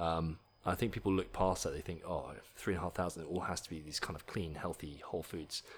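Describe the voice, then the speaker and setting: Talking at a very fast pace with an English accent, a man uses a very deep, low pitch and fairly even intonation. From England. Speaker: nutrition company founder, fitness enthusiast. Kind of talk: interview chat.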